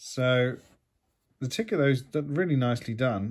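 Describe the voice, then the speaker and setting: A man at a fairly slow pace, with a British accent, against a quiet background. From UK. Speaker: YouTube collectibles unboxer. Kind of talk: casual unboxing talk to camera. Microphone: phone near.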